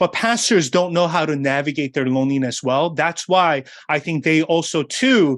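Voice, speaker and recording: Here is a man in a normal speaking voice with ordinary pitch variation. He keeps a moderate pace on a very clean recording with a silent background. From South Korea, then New York City from age 10. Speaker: pastor and author. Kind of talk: interview.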